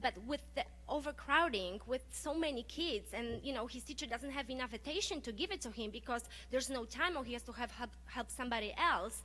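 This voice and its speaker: This woman has a non-native accent. She speaks at a moderate pace. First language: not English. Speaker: parent, public commenter. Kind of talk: unprepared public comment. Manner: halting, many fillers.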